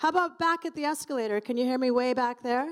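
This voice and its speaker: Loud speech at a fairly quick pace on a very clean recording with a silent background. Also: woman. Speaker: conference moderator. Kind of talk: event moderation to live audience. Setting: stage with audience. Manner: chatty, animated.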